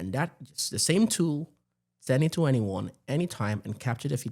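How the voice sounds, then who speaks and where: On a very clean recording with a silent background, a man talks at a very fast pace in a dark, mellow, somewhat breathy tone with lively intonation. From Nigeria. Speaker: tech executive. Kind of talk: podcast interview.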